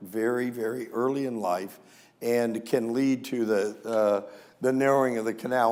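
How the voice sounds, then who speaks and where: In an American accent, a man speaks at a medium pitch and a fairly slow pace with fairly even intonation, and audible room echo surrounds his voice. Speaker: veterinary neurologist. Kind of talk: lecture. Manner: hesitant fillers.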